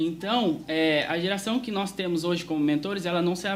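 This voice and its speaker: Man's high voice at a moderate pace, ordinary pitch variation, audible room echo. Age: young. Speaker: youth preacher. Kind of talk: sermon.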